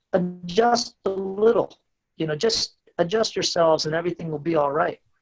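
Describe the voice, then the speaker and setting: With music in the background, a man with an American accent and a high pitch speaks with lively intonation. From US, West Virginia. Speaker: startup CEO. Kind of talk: podcast interview.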